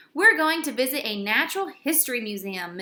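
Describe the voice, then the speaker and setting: This woman uses a put-on character voice pitched high, with very wide pitch swings. She talks at a fairly quick pace. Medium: read story. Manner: enthusiastic.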